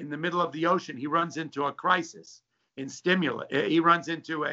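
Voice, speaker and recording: Delivered in an ordinary speaking voice, a man's fairly high pitch moves at a fairly quick pace with fairly even intonation. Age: 60s. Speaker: stock trader. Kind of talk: interview. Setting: video call from home.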